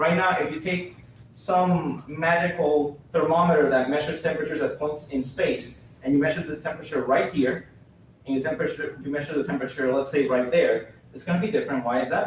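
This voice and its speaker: A man talks at a very fast pace. There is audible room echo. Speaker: university lecturer. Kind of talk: lecture. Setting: classroom. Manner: loud. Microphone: echoey classroom sound.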